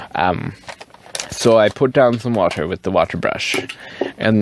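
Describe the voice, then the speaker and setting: With a medium pitch, a man speaks with lively intonation. Noticeable background noise runs underneath. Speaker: fountain pen and ink video creator. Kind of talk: casual show-and-tell vlog. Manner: animated, lots of fillers.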